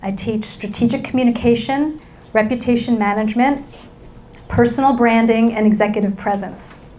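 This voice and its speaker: At a moderate pace, a woman with a New York accent speaks amid audible room echo. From New York City. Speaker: business school lecturer and keynote speaker. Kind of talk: keynote talk. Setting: stage with audience. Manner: animated.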